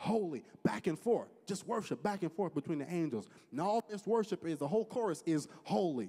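The clip is plain reading aloud.

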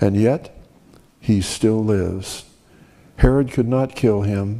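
Slowly, at a very slow pace, a man speaks in a dark, mellow tone. His pitch variation is ordinary. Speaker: preacher. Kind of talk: sermon. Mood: reverent, rhetorical cadence. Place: church. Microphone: podium.

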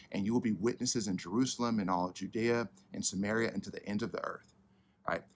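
A man talks in an ordinary speaking voice, fairly quickly and with fairly even intonation. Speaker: church pastor. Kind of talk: sermon. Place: garden.

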